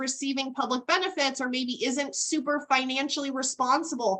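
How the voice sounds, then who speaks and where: A woman speaks in a raised, projected voice with a high pitch. Her tone is bright and sharp. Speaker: estate planning attorney. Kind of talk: webinar presentation.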